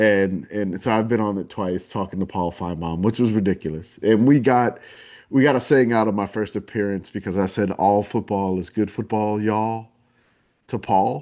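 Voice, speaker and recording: With a New Orleans accent, a man speaks in a fairly low pitch and a dark, mellow tone. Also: ordinary pitch variation, quiet background. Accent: Southern drawl, New Orleans. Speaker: podcast host and community founder. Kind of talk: casual interview chat.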